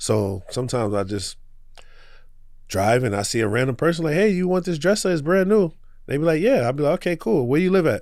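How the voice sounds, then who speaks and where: This man, with a New York accent, talks at a fairly quick pace with a fairly high pitch and very wide pitch swings. The recording is very clean, with a silent background. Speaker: small business owner. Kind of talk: podcast interview. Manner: casual.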